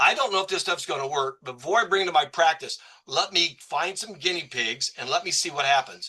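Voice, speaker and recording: Lively intonation and a high pitch mark a man who speaks at a very fast pace. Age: 60s. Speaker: physician. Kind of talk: casual chat.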